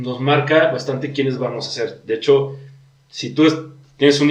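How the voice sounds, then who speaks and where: A man speaks in a monotone with flat intonation. Room echo is audible. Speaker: podcast host explaining disorders. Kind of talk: casual chat.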